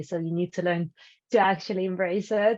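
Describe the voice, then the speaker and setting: A woman speaks with a strong Ukrainian accent. Her pitch is medium, and the background is quiet. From Ukraine. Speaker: entrepreneur. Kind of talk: panel discussion. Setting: live stream. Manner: outspoken, direct.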